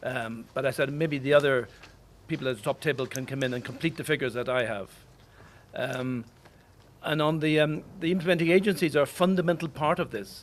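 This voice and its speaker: Speaking with an Irish accent, the man uses a fairly high pitch, ordinary pitch variation, and a fairly quick pace. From Ireland. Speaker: diplomat. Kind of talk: official speech at press launch.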